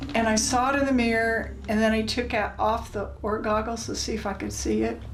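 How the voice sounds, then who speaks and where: Speaking fairly quickly, a woman is heard with audible room echo and noticeable background noise. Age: 60s. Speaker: interviewee. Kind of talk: interview. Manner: halting.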